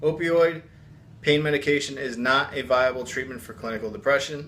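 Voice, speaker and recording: With an ordinary speaking voice, a man talks at a fairly quick pace with ordinary pitch variation. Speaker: addiction recovery vlogger. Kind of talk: reading a viewer's email aloud.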